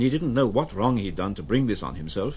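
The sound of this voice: A man talks at a fairly quick pace in a fairly low pitch, with big pitch swings.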